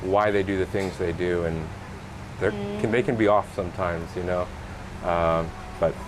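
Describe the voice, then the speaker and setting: The speech moves at a moderate pace, broken by long, frequent pauses. Noticeable background noise runs underneath. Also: man, very deep, low pitch for a man. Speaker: podcast host. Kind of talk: podcast interview.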